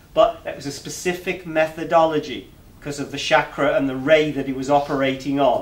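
Speaking in an English accent, a man keeps a moderate pace. His pitch is fairly high and his intonation fairly even. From England. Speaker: alternative finance campaigner and presenter; presenter. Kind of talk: public talk to a meeting. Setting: meeting room with live audience. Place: meeting room. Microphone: camera far.

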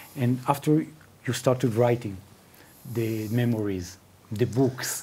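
Somewhat breathy, a man talks in a dark, mellow tone. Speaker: interviewer. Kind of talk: interview. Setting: studio. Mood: warm, friendly. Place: studio. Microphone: lapel.

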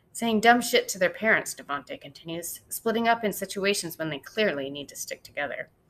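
Lively intonation lifts this plain reading aloud.

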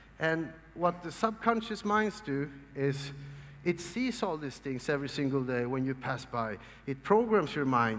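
Moderate pace in a Swedish accent, with very wide pitch swings. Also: man. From Sweden. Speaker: motivational speaker. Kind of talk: seminar talk. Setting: stage with audience. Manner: animated. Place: hall. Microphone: headset.

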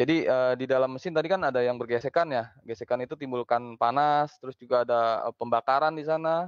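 Against a quiet background, a man talks at a very fast pace with hardly any pauses. His pitch is medium with ordinary variation. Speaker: automotive company manager. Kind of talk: interview. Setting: office, remote video call. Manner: halting.

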